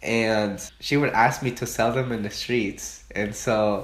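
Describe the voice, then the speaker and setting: A man of medium pitch speaks with a Spanish accent. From Mexico, Oaxaca. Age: 20s. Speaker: student interviewee. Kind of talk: interview.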